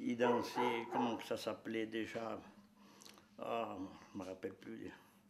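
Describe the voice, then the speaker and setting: The volume of this man's voice rises and falls dramatically. He talks very slowly. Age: 70s. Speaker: traditional dancer. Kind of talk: interview. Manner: halting.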